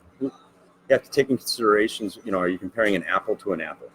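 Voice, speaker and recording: Very fast, a man speaks with a dry, close sound and no echo. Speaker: real estate agent. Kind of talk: casual interview chat.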